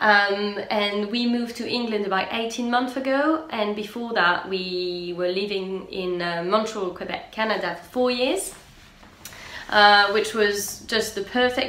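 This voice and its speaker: In a French accent, a woman speaks at a fairly slow pace, fairly high in pitch, with ordinary pitch variation and big swings in loudness. Audible room echo and noticeable background noise surround her. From France. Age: 30s. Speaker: knitting and sewing podcaster. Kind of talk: casual vlog podcast chat. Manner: hesitant, many fillers.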